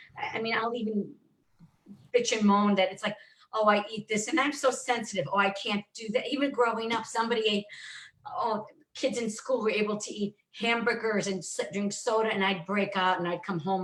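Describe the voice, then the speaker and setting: A woman with an ordinary speaking voice talks at a moderate pace in a fairly high pitch with ordinary pitch variation. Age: 60s. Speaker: colon therapist and author. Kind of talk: casual chat.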